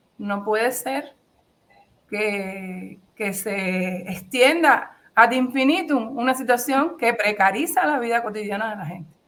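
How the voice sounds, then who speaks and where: A woman talks at a very slow pace and a fairly high pitch. Her intonation is lively, with big swings in loudness. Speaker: journalist. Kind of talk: interview. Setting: video call. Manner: halting.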